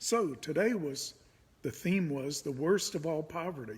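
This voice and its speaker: An unremarkable speaking voice from a fairly high-pitched man, with lively intonation at a moderate pace. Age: 60s. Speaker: pastor. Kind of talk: casual monologue. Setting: indoors.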